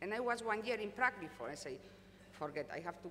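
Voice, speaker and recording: Very fast speech with a Spanish accent and audible room echo. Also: woman. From Spain. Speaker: company executive. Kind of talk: conference panel talk. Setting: stage with audience.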